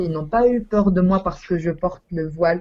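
The woman's delivery is fairly slow. Her pitch moves in an ordinary way. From Tunisia. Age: 20s. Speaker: university student. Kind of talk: interview. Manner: halting.

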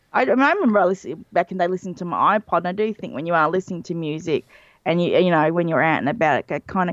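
In an Australian accent, a woman speaks very fast at a fairly low pitch, with vocal fry and ordinary pitch variation. The sound is dry and close with no echo, over a quiet background. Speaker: illustrator. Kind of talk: casual chat.

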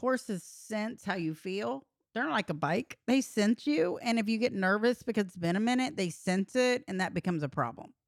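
With a Texan accent and hardly any pauses, a woman talks at a fairly quick pace in a fairly high pitch with lively intonation, the sound dry and close with no echo. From Texas, rural San Saba area. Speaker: podcast co-host. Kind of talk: casual chat.

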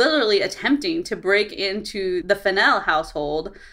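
Medium-pitched woman with an American accent and lively intonation, over noticeable background noise. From Southern California. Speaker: legal expert. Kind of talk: casual explanation.

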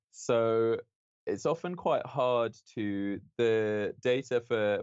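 In a London accent, a man speaks. His voice sits at a medium pitch. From London, England. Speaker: astrophysics PhD student. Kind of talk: interview.

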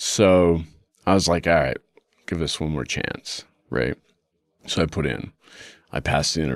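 At a very deep, low pitch with vocal fry, a man speaks at a moderate pace with ordinary pitch variation and long, frequent pauses. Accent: American. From Utah. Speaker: police detective. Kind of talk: interview recollection.

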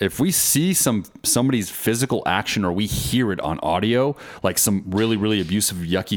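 A man's ordinary speaking voice, fairly low in pitch, with lively intonation. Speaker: co-host. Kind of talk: casual chat.

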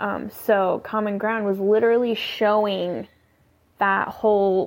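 At a very slow pace, a woman with an American accent speaks at a medium pitch. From California. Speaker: listener giving voice feedback. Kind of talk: recorded voice message. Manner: hesitant, rambling with fillers.

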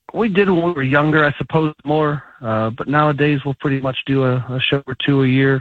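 An ordinary speaking voice at a moderate pace. Its pitch varies in an ordinary way. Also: man. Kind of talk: casual interview.

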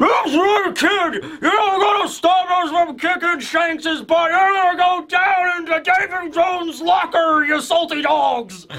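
A man shouting in a put-on character voice at an extremely high pitch, fairly slow in pace, with light background noise. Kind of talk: salty pirate talk. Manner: gruff, slurred, toothless.

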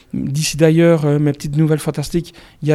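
Over a very clean, silent background, a man talks at a fairly quick pace with a fairly high pitch and a dark, mellow tone. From Belgium, Liège region. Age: 40s. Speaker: novelist. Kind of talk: interview.

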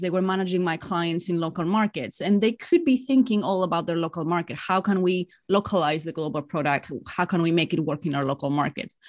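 Speaking at a fairly quick pace and medium pitch, a woman with a Greek accent is heard over a quiet background. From Greece. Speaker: executive coach. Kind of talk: interview.

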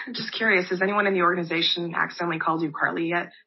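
A woman with an American accent talks at a very fast pace in a medium pitch. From Los Angeles, California. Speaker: pro basketball player. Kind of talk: press conference statement and answers. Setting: video call press conference.

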